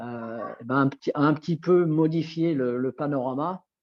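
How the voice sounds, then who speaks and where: A man's voice sits fairly high in pitch, with fairly even intonation. Music is heard in the background. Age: 60s. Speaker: nordic walking instructor. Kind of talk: interview. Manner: halting.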